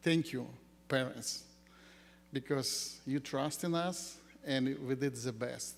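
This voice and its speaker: The man's voice is pitched fairly high and delivered in a monotone, flat intonation. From Ukraine. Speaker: school founder. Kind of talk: ceremony speech. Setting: graduation ceremony with audience.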